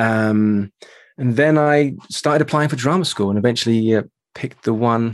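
A man talks with a British accent and ordinary pitch variation. The background is quiet. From London, England. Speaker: voice coach and actor. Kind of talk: interview.

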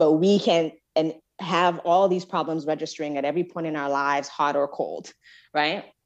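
Over a quiet background, a woman with a very deep, low pitch talks at a fairly quick pace. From Nigeria. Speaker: psychology professor. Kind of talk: casual interview.

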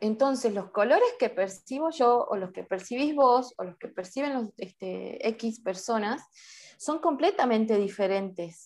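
A woman with an ordinary speaking voice talks fairly slowly at a fairly high pitch, her intonation lively and her loudness swinging widely. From Salta, Argentina. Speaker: amateur photographer and video artist. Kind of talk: interview.

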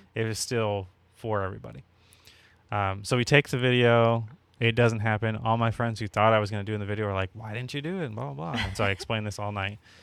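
A man's fairly low voice at a very fast pace, with ordinary pitch variation. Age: 30s. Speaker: podcast co-host. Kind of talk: casual chat. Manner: soft-spoken.

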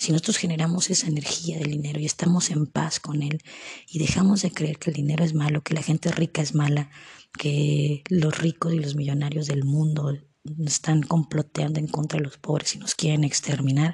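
A woman speaks at a moderate pace in a very deep, low pitch with monotone, flat intonation. The sound is dry and close, with no echo. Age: 30s. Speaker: podcaster. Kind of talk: personal reflection monologue. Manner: halting.

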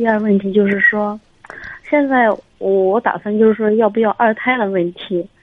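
A woman speaks in a fairly high voice over noticeable background noise. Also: fairly even intonation, moderate pace. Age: 30s. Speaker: caller, neurologist. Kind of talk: call-in advice. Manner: halting. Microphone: too quiet.

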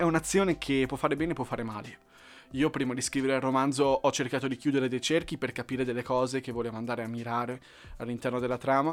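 At a very fast pace, a man talks in a medium pitch with fairly even intonation, in a very clean recording with a silent background. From Lombardy, northern Italy. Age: 20s. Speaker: novelist and podcaster. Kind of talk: casual monologue. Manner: hesitant, frequent fillers.

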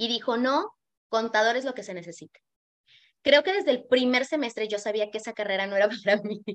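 Her voice fairly high, a woman talks at a fairly quick pace with big swings in loudness. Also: ordinary pitch variation. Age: 40s. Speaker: image consultant. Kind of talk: casual chat. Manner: animated.

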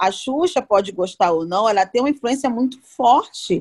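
A woman's voice with lively intonation and a moderate pace, a plain, everyday voice, dry and close with no echo. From Belém, Brazil. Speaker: podcast co-host, celebrity reporter. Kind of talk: casual chat.

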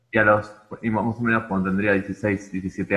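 His voice is a man's, fairly low in pitch yet bright and sharp in tone. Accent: Rioplatense. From Argentina. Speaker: rock musician. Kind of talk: casual chat. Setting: video call.

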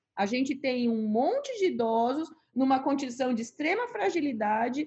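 A woman talks at a moderate pace in a high voice, her pitch swinging very widely. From Rio Grande do Sul, Brazil. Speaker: palliative care doctor. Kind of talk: interview.

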